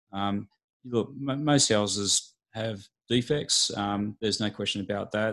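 Against a quiet background, a man with an Australian accent speaks at a very slow pace, his fairly low pitch carrying fairly even intonation. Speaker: building and pest inspector. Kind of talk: interview.

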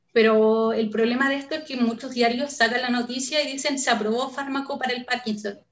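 A woman's high voice at a fairly quick pace, monotone and flat, with hardly any pauses. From northern Chile, Antofagasta. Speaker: neuroscience researcher. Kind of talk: interview.

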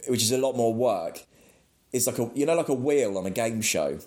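This man speaks with an English accent. His pitch sits in the medium range. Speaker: metal podcast co-host. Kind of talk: casual chat.

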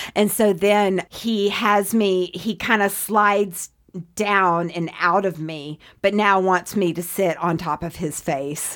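A woman speaks at a very slow pace and a medium pitch, her intonation fairly even. The recording is very clean, with a silent background. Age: 40s. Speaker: podcast guest. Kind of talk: casual chat. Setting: studio.

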